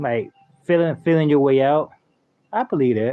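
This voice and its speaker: Lively intonation marks this man's speech. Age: 30s. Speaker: gaming live streamer. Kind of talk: casual live stream chat. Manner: fast; animated.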